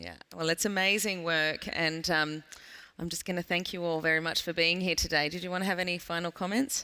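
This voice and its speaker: This woman speaks in an Australian accent with a bright, sharp tone and a fairly low pitch. Her pace is fairly quick and her intonation fairly even. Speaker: panel moderator. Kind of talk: panel discussion. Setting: stage with audience.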